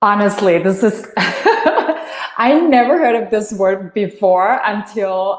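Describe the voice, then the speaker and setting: A woman's fairly high voice with lively intonation at a very slow pace, against noticeable background noise. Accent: Thai. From Thailand. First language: Thai. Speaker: energy healer. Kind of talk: interview. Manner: halting.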